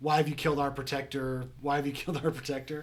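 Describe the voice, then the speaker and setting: A man shouts in a raspy, put-on character voice at a very fast pace, his pitch fairly high. His intonation is monotone and flat, with light background noise behind him. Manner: yelling.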